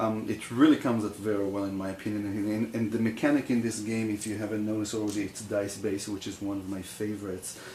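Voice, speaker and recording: A man speaks very fast with hardly any pauses. His fairly low voice has a dark, mellow tone and a flat, monotone delivery. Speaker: board game reviewer. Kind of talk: tutorial. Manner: halting, many fillers.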